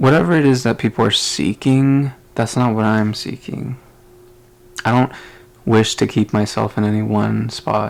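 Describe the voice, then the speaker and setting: A man at a medium pitch speaks with ordinary pitch variation and long, frequent pauses. Noticeable background noise runs underneath. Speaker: podcaster. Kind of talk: casual monologue. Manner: slow, halting.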